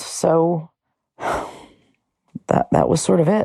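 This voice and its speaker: This woman's fairly low voice has vocal fry and a dark, mellow tone, recorded with a dry, close sound and no echo. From New York. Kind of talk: interview testimony. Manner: halting, repeats words.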